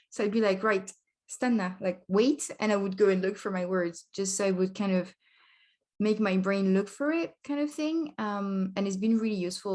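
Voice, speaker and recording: A woman with a French accent talks at a moderate pace in a medium pitch with ordinary pitch variation over a quiet background. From France. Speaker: language learning vlogger. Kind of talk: casual vlog talk. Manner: hesitant, filler-heavy.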